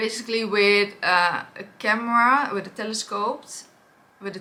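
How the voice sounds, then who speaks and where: A woman speaks in a Dutch accent at a moderate pace. Her tone is bright and sharp. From Netherlands. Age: 30s. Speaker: influencer. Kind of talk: personal testimony vlog. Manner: hesitant, many fillers.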